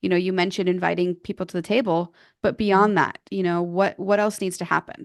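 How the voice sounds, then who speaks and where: In a normal speaking voice, a woman talks at a fairly quick pace with medium pitch and fairly even intonation over a quiet background. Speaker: podcast co-host. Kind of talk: podcast interview question.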